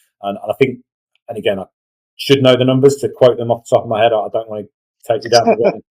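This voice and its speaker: A man with an English accent talks very fast but leaves long, frequent pauses. The sound is dry and close, with no echo. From England, Northampton. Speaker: referee organisation communications director. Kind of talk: interview. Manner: repeats words, hesitant.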